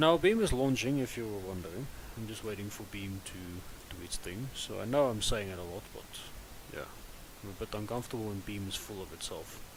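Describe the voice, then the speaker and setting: A man talks at a fairly quick pace with ordinary pitch variation. His loudness swings widely, and room echo is audible. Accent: non-native. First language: not English. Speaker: gaming live streamer. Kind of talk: live stream gameplay chat. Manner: casual, hesitant.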